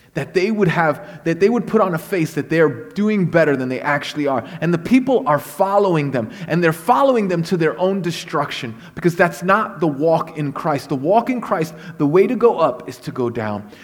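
A man with a Brooklyn accent and a high pitch talks with lively intonation at a moderate pace, with hardly any pauses, over noticeable background noise. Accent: New York (Brooklyn). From Brooklyn, New York (Puerto Rican family). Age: 40s. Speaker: guest preacher. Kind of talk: sermon.

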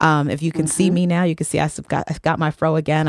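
Very fast and monotone, a woman with an American accent speaks in a very deep, low voice with flat intonation, the sound dry and close with no echo. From Texas, El Paso. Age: 30s. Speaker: community organizer. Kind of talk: casual chat.

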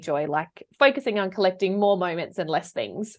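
Moderately paced speech from a woman in an Australian accent. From South Australia. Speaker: professional organiser and declutter coach. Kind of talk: casual interview chat.

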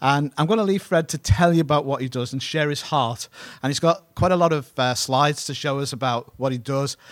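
A man with a fairly high pitch speaks on a very clean recording with a silent background. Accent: British. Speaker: pastor. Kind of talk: sermon. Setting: church. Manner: halting.

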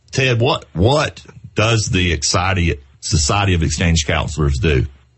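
A man with a Southern US accent speaks in a very deep, low pitch at a fairly slow pace. Noticeable background noise is present. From US South, South Carolina. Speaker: podcast host, real estate professional. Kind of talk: casual chat.

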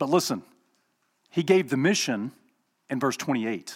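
On a very clean recording with a silent background, a man speaks in an Alabama accent with lively intonation. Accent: US Southern (Alabama). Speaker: guest preacher. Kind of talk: sermon.

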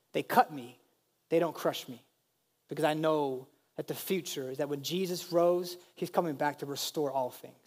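With big swings in loudness, a man speaks in an animated tone at a moderate pace, his fairly high pitch showing ordinary variation. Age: 30s. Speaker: pastor. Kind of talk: sermon.

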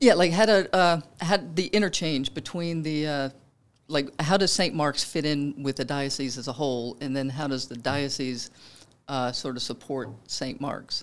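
The speaker talks at a moderate pace in a Louisiana accent. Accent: Southern US (Louisiana). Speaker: podcast host. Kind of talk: casual interview. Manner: chatty, laughing often.

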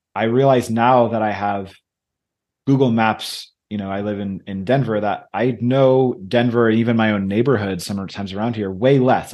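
Over a quiet background, a man with an American accent and an unremarkable speaking voice talks at a moderate pace, medium pitch and fairly even intonation. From Michigan, US. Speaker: leadership coach and author. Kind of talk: interview conversation.

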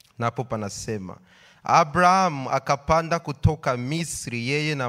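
Music plays in the background as a man talks. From Congo. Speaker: scripture reader at church. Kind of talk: reading aloud.

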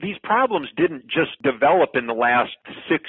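A man with a Wisconsin accent at a moderate pace. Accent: Upper Midwest (Wisconsin). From rural Wisconsin, Clark County. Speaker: political candidate. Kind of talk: interview. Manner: repetitive, stumbling restarts.

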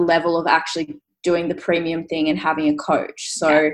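With an Australian accent, a woman speaks at a moderate pace and fairly low pitch. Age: 20s. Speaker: fitness coach and bikini competitor. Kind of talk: casual interview chat.

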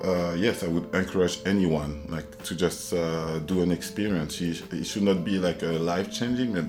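Through noticeable background noise, a man with a very deep, low pitch speaks at a moderate pace, hardly pausing, with fairly even intonation. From Ivory Coast, Abidjan. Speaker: creative technologist. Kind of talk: interview. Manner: halting, many fillers.

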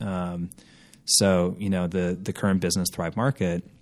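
Speaking with an American accent, this man has a very deep, low pitch. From Minnesota, Minneapolis. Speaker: company founder and CEO. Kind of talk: interview. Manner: casual with many fillers.

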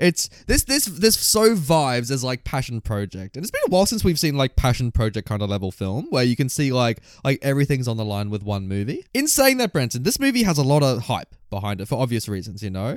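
Speaking at a fairly quick pace with hardly any pauses, a man with an Australian accent uses a medium pitch and lively intonation in a very clean recording with a silent background. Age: 20s. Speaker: film podcast co-host. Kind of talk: casual chat.

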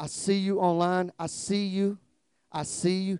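A man's high-pitched voice in a Southern US accent, dark and mellow in tone, at a fairly slow pace, with a dry, close sound and no echo. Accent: Southern drawl. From US South, South Georgia. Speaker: guest preacher, former police officer. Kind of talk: fervent revival-style altar call and closing prayer, call-and-response. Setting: church with congregation, streamed live. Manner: drawling, slow; loud, rousing crescendo urging the congregation to clap and shout.

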